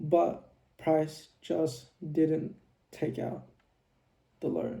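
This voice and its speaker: A quiet man with a dark, mellow tone. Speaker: trading video creator. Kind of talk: trading tutorial recap. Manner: quiet, low volume; casual, filler-heavy.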